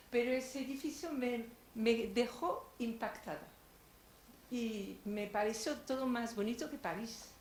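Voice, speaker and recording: A woman with a French accent, high in pitch, with ordinary pitch variation and a fairly slow pace, amid noticeable background noise and audible room echo. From France. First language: French (speaking Spanish). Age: 80s+. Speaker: audience member, blogger on Madrid. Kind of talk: audience comment.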